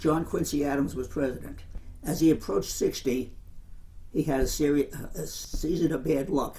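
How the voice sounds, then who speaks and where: With an American accent, a man speaks at a moderate pace with long, frequent pauses, using a fairly high pitch, ordinary pitch variation and a dark, mellow tone. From Commack, Long Island, New York. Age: 80s+. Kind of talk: interview answer.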